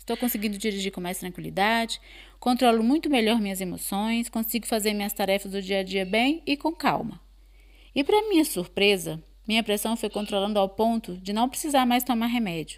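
Recorded very cleanly against a silent background, a woman talks in a normal speaking voice, fairly high in pitch, at a fairly quick pace with ordinary pitch variation. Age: 40s. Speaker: course participant. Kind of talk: testimony.

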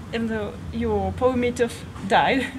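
Noticeable noise sits in the background. A woman talks at a fairly slow speed. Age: 30s. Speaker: vegan fitness youtuber. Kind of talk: casual interview. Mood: relaxed, playful. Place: garden.

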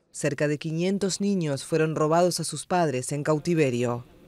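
A man speaks in a serious tone at a fairly slow pace. His pitch is high, with ordinary variation. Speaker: news reader. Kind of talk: tv news report, scripted. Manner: formal, measured; serious, even-paced delivery.

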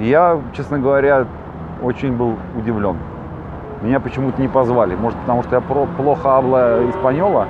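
The speech moves at a moderate pace in a dry sound with no echo. Noticeable background noise runs underneath. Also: man. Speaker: traveler talking to a vlogger. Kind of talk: casual vlog chat. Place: street. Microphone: phone near.

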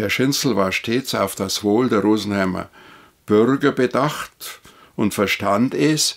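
Against a quiet background, a man talks very slowly in a fairly low voice. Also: ordinary pitch variation. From Upper Bavaria, Rosenheim district; Upper Bavaria. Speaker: retired official and former city councillor; former city councillor, witness. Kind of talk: interview. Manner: halting. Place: home room.

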